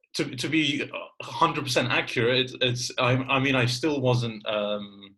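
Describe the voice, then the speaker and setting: With a bright, sharp tone, a man speaks at a moderate pace and a medium pitch. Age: 20s. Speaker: podcast host. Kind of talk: casual chat.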